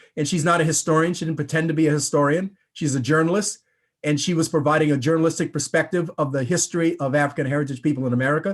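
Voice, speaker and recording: Talking at a very fast pace, a man with a fairly high pitch has an animated tone and ordinary pitch variation. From Rhode Island, New England. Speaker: historian. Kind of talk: panel discussion.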